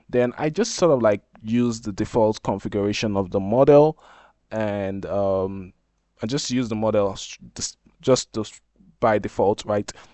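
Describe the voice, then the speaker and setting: Pausing long and often, a man with a Nigerian accent speaks at a moderate pace in a fairly low voice with ordinary pitch variation. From Nigeria (Ijaw). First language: Izon. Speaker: software developer, tech YouTuber. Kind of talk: tutorial. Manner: casual, hesitant with fillers.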